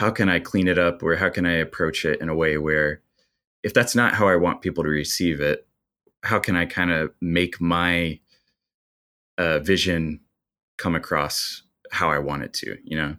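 A man speaks in a very deep, low voice with a Midwestern American accent and fairly even intonation. He leaves long, frequent pauses, and the recording is very clean with a silent background. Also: moderate pace. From US Midwest (small-town Indiana). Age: 30s. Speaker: bar owner and video editor. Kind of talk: interview conversation.

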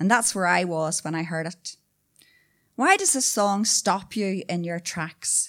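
On a very clean recording with a silent background, a woman with a Northern Irish accent speaks at a fairly slow pace with ordinary pitch variation. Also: medium pitch for a woman. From Newry, Northern Ireland. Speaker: storyteller. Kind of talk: storytelling performance. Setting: stage with audience.

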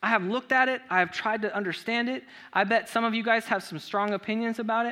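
Raised and projected, a man's bright, sharp voice moves at a very fast pace. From Southern California. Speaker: pastor. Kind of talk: sermon. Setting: church. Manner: casual.

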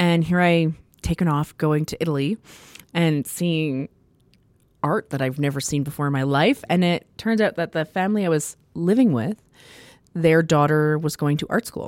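A woman speaks at a moderate pace in a very deep, low voice with a Canadian Prairie accent. Her long, frequent pauses come through in a dry, close sound with no echo. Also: ordinary pitch variation. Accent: Canadian English (Prairies). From Saskatchewan, Canada (small town near Saskatoon). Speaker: theatre designer and professor. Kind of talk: interview.

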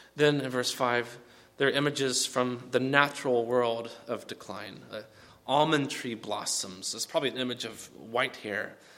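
A man's medium-pitched, plain, everyday voice at a moderate pace with fairly even intonation. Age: 30s. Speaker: pastor. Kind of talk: sermon.

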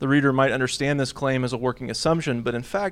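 A man with an American accent has an unremarkable speaking voice. His pitch is medium, with ordinary variation. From US (Texas, Oklahoma, Washington, Alaska). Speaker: theology lecturer. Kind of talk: academic paper reading. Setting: conference panel with audience.

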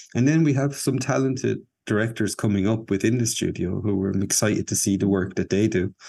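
A man with an Irish accent speaks in a dark, mellow tone. His pitch is fairly low, with ordinary variation. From Ireland. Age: 40s. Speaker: animator and filmmaker. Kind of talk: casual interview. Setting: video call.

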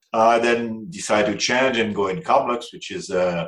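This is a man with a French accent. His pitch is medium and his pace moderate. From France. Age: 60s. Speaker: aviation executive. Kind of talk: interview. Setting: remote call. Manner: halting.

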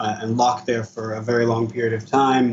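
Against noticeable background noise, a man with an American accent speaks at a medium pitch. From US East Coast. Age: 20s. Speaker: cannabis user with PTSD. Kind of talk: personal testimony.

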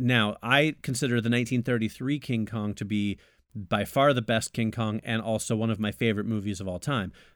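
A man with an American accent uses a normal speaking voice at medium pitch, with fairly even intonation and a fairly quick pace. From United States. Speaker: film podcast co-host. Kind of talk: scripted narration; casual chat.

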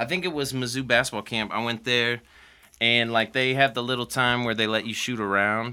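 The voice has an American accent, a fairly quick pace and fairly even intonation. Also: man, medium pitch for a man. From Missouri, US Midwest. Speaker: hip hop beat producer. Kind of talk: casual chat.

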